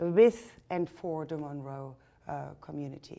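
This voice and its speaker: With a German accent, a woman speaks in a dark, mellow tone. Her intonation is fairly even and her pace fairly slow. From Germany. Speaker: artist and photographer. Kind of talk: interview.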